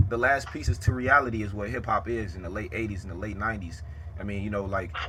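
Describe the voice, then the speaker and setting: Speaking very fast in a fairly low pitch with ordinary variation, a man has a bright, sharp tone, and the room echo is audible. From Chicago south side. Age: 20s. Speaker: rapper and interviewer. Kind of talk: casual interview.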